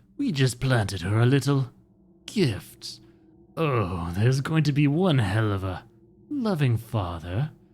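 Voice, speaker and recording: A man puts on a husky, pompous character voice at a medium pitch, his pitch swinging very widely as he speaks at a fairly slow pace. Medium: game stream. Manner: pompous, gloating.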